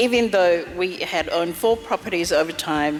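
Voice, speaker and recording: A fairly low-pitched woman at a moderate pace, with ordinary pitch variation and music in the background. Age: 60s. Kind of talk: interview answer.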